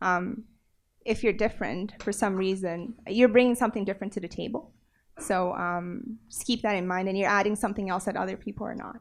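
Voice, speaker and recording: Against a quiet background, a woman with a non-native accent speaks with ordinary pitch variation. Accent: foreign. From South America. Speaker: tech panelist. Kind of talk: panel discussion.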